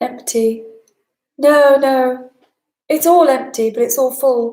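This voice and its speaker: This woman has a high pitch and fairly even intonation. Her pace is fairly slow. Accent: slight northern English. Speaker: spiritual teacher. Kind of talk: live online talk answering chat questions.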